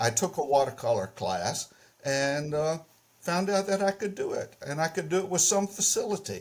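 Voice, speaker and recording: With a Southern US accent, a man talks in a high pitch with ordinary pitch variation. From US South, Mississippi. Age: 80s+. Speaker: painter. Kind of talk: interview. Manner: halting, repeats words.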